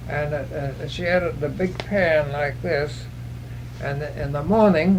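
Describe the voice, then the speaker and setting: A man with an American accent talks at a fairly slow pace, with audible room echo and noticeable background noise. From California, US. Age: 90s. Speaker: oral history interviewee. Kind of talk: oral history interview. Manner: halting, many hesitations.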